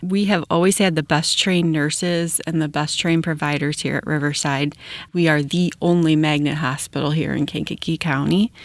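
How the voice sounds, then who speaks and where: Speaking with an American accent, a woman uses a very deep, low pitch and fairly even intonation at a moderate pace with hardly any pauses. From Wilmington, Illinois. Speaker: emergency department director, nurse. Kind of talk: interview.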